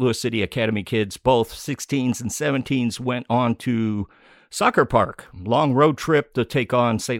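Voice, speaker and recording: An ordinary speaking voice moves at a fairly slow pace. The recording is very clean with a silent background and a dry, close sound with no echo. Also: man. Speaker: podcast host. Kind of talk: casual chat. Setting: studio.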